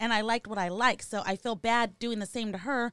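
A woman with a fairly high pitch speaks at a moderate pace in an unremarkable speaking voice, recorded very cleanly against a silent background with a dry, close sound and no echo. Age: 30s. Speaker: podcast co-host. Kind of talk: casual chat.

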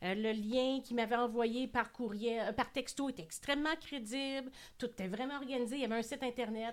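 A woman speaks at a fairly quick pace in a high voice. Her intonation stays fairly even. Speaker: podcast host. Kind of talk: show outro; casual chat.

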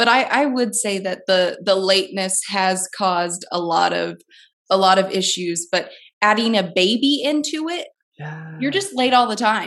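A normal speaking voice with an American accent moves at a moderate pace with lively intonation. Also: woman, medium pitch for a woman. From US Midwest, southern Illinois. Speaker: stay-at-home mom. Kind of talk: casual chat.

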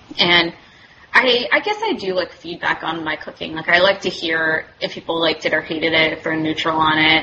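Over noticeable background noise, a woman talks at a fairly quick pace with a fairly low pitch and fairly even intonation. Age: 30s. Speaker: medical student. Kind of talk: casual chat.

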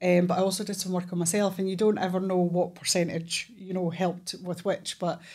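The speaker has a Scottish accent and monotone, flat intonation. The recording is very clean, with a silent background. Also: woman. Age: 40s. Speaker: therapist and police officer. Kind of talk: casual chat.

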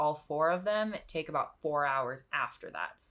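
This woman's pitch is very deep and low. Her intonation is lively. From Nepal. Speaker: cancer survivor. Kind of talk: casual chat.

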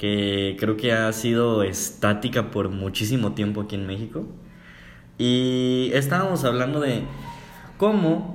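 The speech comes very slowly with lively intonation, audible room echo and music in the background. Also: man, medium pitch for a man. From Mexico. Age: 20s. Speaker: podcast co-host, psychology student. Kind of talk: casual chat.

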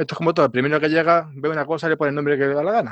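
A man's voice, dry and close with no echo, against a quiet background. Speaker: geologist and science communicator. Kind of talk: casual science chat. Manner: halting, many fillers.

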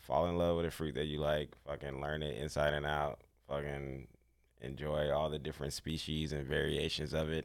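A man's very deep, low voice with vocal fry, monotone, flat intonation and a moderate pace. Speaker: guest. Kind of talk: casual chat.

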